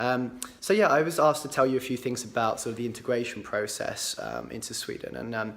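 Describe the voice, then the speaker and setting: Through noticeable background noise, a man with an English accent talks at a fairly quick pace with hardly any pauses. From England, Cambridgeshire. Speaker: entrepreneur. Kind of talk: personal account to camera. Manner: hesitant, many fillers.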